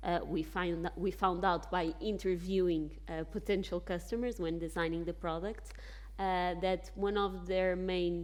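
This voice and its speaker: A woman with a Portuguese accent speaks at a fairly slow pace. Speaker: bank executive on a panel. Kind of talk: panel discussion. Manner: halting with fillers and self-corrections.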